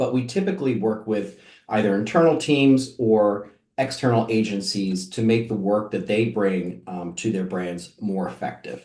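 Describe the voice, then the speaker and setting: A man with a dark, mellow, fairly low voice and ordinary pitch variation talks at a moderate pace amid audible room echo. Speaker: marketing agency executive. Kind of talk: webinar presentation. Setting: online webinar. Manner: many filler words.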